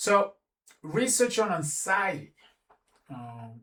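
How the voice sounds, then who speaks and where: A man talks with a non-native accent. He speaks very slowly. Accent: non-native accent, noticeable. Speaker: philosophy and self-help video host. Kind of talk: reflective talk to camera. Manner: halting, with many fillers and self-corrections.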